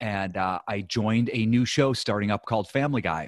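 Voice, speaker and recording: In a dry, close recording with no echo and a quiet background, a man with an American accent talks fairly slowly at a medium pitch in an unremarkable speaking voice. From US Midwest, Ohio. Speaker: real estate investor and former TV writer. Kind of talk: interview.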